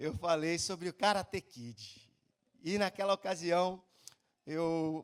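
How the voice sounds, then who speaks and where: At a very slow pace with long, frequent pauses, a man with a high pitch and ordinary pitch variation speaks with big swings in loudness, the sound dry and close with no echo. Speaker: preacher. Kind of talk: sermon.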